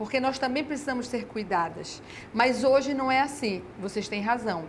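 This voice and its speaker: Audible room echo surrounds a woman speaking at a high pitch and moderate pace with ordinary pitch variation. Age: 60s. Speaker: educator and mother of six. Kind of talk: TV interview.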